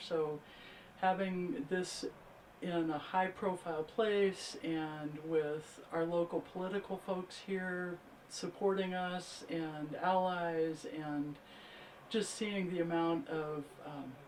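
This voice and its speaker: Very slow speech with fairly even intonation over noticeable background noise. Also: woman. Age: 60s. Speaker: event attendee. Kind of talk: interview. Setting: grand opening event.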